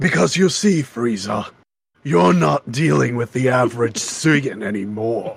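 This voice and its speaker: A man speaks in a put-on character voice at medium pitch. His pace is fairly slow, and his pitch swings very widely. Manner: pompous, menacing.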